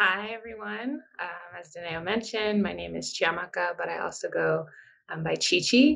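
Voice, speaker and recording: A woman with an American accent speaks at a moderate pace, her loudness swinging widely. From US Northeast, New Jersey. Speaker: PhD student, program alumna; panelist. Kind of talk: interview. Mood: warm, smiling, upbeat. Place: home room. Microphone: video call.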